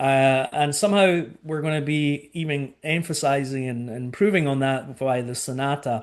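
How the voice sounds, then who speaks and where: Speaking with a Scottish accent, a man keeps a moderate pace with hardly any pauses, his fairly high pitch showing ordinary variation. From Scotland. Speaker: cruise line sales director. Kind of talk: webinar presentation. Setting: online webinar.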